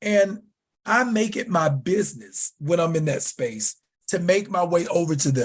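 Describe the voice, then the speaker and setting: Loud and animated, a man speaks with an American accent. His pitch is high. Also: lively intonation, moderate pace. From US South. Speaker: leather community writer and educator. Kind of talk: podcast interview.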